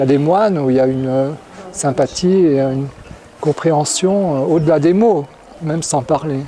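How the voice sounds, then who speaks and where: Noticeable background noise sits behind a man speaking at a fairly high pitch and moderate pace with ordinary pitch variation. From France. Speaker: Buddhist monk. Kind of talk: interview. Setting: monastery. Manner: halting, many repetitions.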